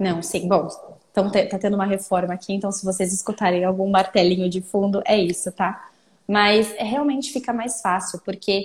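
A somewhat breathy woman at a medium pitch and a moderate pace. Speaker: speech therapist. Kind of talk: casual interview.

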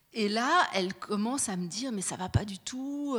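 A woman speaks with lively intonation at a fairly high pitch, her voice somewhat breathy. The recording is very clean, with a silent background. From Fribourg, Switzerland. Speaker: radio journalist. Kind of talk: panel talk with host. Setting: stage with audience.

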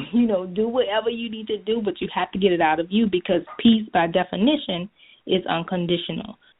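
Delivered at a fairly quick pace, this is a plain, everyday voice with ordinary pitch variation. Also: woman, medium pitch for a woman. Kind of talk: interview answers, advice. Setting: phone call, conference line.

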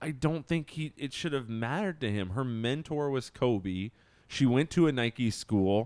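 With a normal speaking voice, a man talks at medium pitch and a fairly slow pace, his intonation lively. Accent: American. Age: 30s. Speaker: sneaker podcast co-host. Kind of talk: casual chat.

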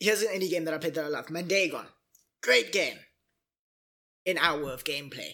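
A man's fairly high, bright, sharp voice with ordinary pitch variation, a fairly quick pace and long, frequent pauses. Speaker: Twitch streamer. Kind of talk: casual chat.

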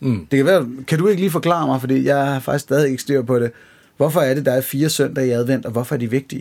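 Speaking very fast, a man keeps his pitch at a medium level. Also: ordinary pitch variation. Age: 30s. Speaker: podcast host. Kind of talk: casual chat.

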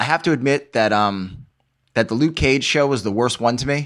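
On a very clean recording with a silent background, a man speaks with an American accent. His pitch is medium, with ordinary variation. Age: 40s. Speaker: comic book artist. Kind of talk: casual chat.

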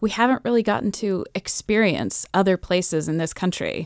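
A woman with an American accent speaks in an ordinary speaking voice with lively intonation. The sound is dry and close, with no echo. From Massachusetts. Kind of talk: radio interview.

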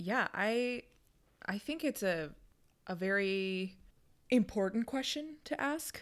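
In a fairly high voice with lively intonation, a woman speaks at a very slow pace with long, frequent pauses on a very clean recording with a silent background. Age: 30s. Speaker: podcast co-host, lawyer. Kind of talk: casual chat.

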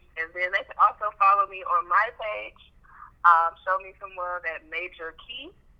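With an ordinary speaking voice and an American accent, a woman talks at a moderate pace and medium pitch, her intonation fairly even but her loudness swinging widely. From Chicago South Side, US. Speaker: accountant and business owner. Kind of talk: casual chat.

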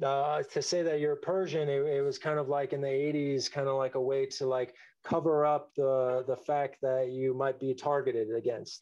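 The speaker has an American accent and a dark, mellow tone, talking at a moderate pace with hardly any pauses. The intonation is monotone and flat, and the loudness very even. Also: man, fairly high pitch for a man. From US West Coast, Los Angeles area. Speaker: street artist. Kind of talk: casual interview.

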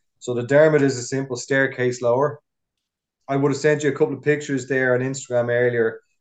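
The speech comes at a very fast pace in a flat monotone. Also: man, medium pitch for a man. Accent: Dublin. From Ireland. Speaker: fire officer and rope rescue instructor. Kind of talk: interview, casual chat.

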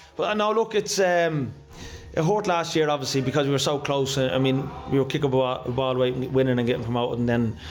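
A man's medium-pitched voice at a very fast pace, with noticeable background noise and audible room echo. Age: 40s. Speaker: football manager. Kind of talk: post-match interview.

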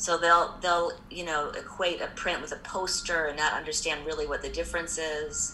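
A woman with an American accent talks with hardly any pauses, amid noticeable background noise and audible room echo. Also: moderate pace. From US Midwest (Indianapolis, Indiana). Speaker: art gallery owner. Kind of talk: interview. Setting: video call.

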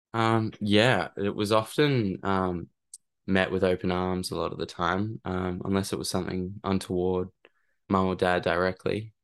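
With an Australian accent, a man speaks in a very deep, low voice at a moderate pace and with fairly even intonation, the background quiet. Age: 20s. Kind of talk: interview. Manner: halting, hesitant.

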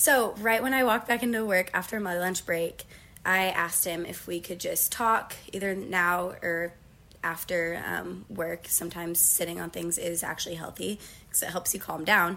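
A woman with a Midwestern American accent has a bright, sharp tone and a fairly low pitch, with ordinary pitch variation. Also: moderate pace. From Northeast Ohio, US. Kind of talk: casual interview.

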